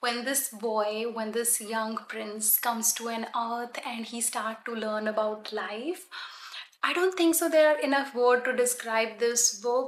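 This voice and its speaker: A woman with a Punjabi accent at a fairly high pitch, with ordinary pitch variation and a fairly slow pace, amid noticeable background noise. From Punjab, India. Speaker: book vlogger. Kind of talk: casual book recommendations to camera. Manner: hesitant, frequent ums.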